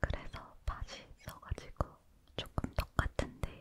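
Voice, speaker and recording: Whispering, a woman speaks at a very slow pace. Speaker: ASMR creator. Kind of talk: whispered ASMR chat while eating. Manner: whispered.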